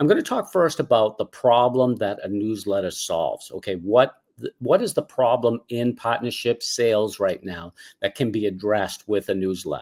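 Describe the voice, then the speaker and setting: A man speaks with a Boston accent at a moderate pace. His medium-pitched voice has ordinary pitch variation and a dry, close sound with no echo. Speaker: cause marketing consultant. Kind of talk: webinar presentation. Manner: casual, filler words.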